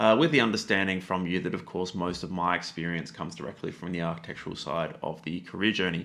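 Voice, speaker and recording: A man with an Australian accent, very deep and low in pitch, with a bright, sharp tone and a very fast pace. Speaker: YouTube tutorial creator. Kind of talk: educational talk to camera. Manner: casual with many fillers.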